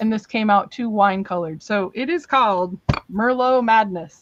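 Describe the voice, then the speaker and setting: A woman with an ordinary speaking voice, fairly high in pitch, at a moderate pace with ordinary pitch variation. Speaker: crafter selling handmade paper on a live stream. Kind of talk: live sales stream. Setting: live stream.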